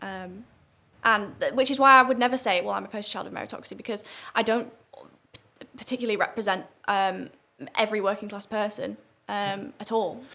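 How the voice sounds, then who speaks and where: This woman talks at a fairly quick pace in a bright, sharp tone with vocal fry and fairly even intonation. Her loudness swings widely, and she leaves long, frequent pauses. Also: fairly high pitch for a woman. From northern England, St Helens area. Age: 20s. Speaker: student debater and political commentator. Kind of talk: podcast interview.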